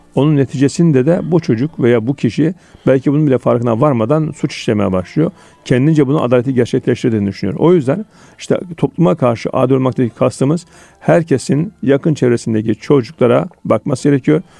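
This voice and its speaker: A man's medium-pitched voice at a fairly quick pace with lively intonation, dry and close with no echo, music in the background. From Turkey, Konya (central Anatolia). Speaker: lawyer and legal academic. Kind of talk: radio interview.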